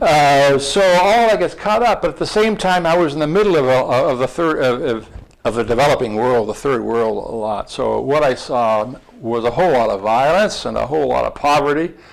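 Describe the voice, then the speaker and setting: A man speaks at a fairly high pitch with very wide pitch swings. Noticeable background noise runs underneath. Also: fairly quick pace. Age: 70s. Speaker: former diplomat and author. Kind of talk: interview dialogue before an audience. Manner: halting, many repeated words.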